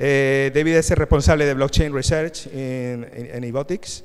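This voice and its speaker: A man with an Andalusian accent at a fairly slow pace. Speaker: panel moderator. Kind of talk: conference panel moderation. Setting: stage with audience. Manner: halting.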